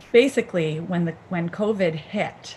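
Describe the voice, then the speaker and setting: A woman speaks with an American accent and ordinary pitch variation. Noticeable background noise is audible. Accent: Chicago accent, comes out sometimes. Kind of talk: casual chat. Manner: halting, many fillers.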